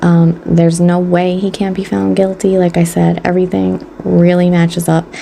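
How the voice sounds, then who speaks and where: At a moderate pace, a woman speaks in a fairly low voice with ordinary pitch variation over noticeable background noise. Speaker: beauty and true crime YouTuber. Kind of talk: casual chat. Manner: animated.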